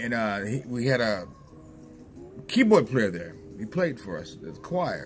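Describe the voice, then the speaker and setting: With light background noise, a man of medium pitch speaks fairly slowly, his pitch swinging very widely and his loudness swinging a lot, with long, frequent pauses. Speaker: vlogger. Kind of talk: casual vlog monologue. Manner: rambling, repetitive, stumbling. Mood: reminiscing, relaxed. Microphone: phone near.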